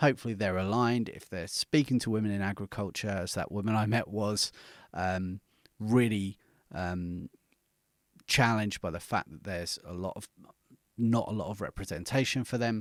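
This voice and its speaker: A man with a British accent speaks at a moderate pace with a fairly low pitch, ordinary pitch variation and long, frequent pauses. The sound is dry and close with no echo, on a very clean recording with a silent background. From Britain. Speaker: podcast coach. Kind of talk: tutorial. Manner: conversational, with fillers.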